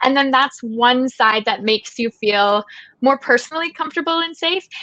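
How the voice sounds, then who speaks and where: A woman's high-pitched voice with a Canadian accent, lively intonation and a moderate pace. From Canada. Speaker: travel blogger. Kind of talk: interview. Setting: webinar.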